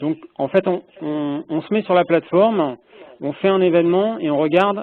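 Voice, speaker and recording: A man's high-pitched voice at a moderate pace. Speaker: project stakeholder asking questions. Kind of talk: meeting discussion. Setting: phone call. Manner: speaks softly. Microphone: echo on the phone line.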